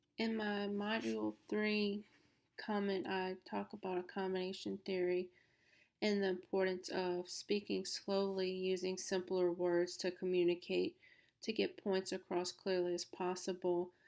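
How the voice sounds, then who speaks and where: On a very clean recording with a silent background, a woman with a south Louisiana accent speaks at a fairly slow pace and medium pitch, monotone and flat in intonation, her loudness very even. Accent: south Louisiana Southern US. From south Louisiana, Baton Rouge. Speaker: student. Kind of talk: class presentation.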